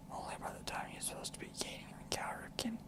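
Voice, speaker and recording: Whispering over noticeable background noise. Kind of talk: whispered ASMR book reading. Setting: studio, close microphone.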